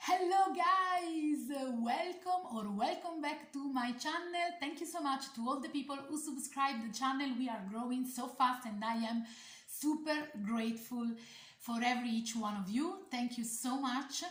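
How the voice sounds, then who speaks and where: With an Italian accent, a woman speaks fairly slowly in a high voice with lively intonation, against noticeable background noise and audible room echo. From Italy. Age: 40s. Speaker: doll collector YouTuber. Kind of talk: casual vlog talk. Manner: halting, many fillers.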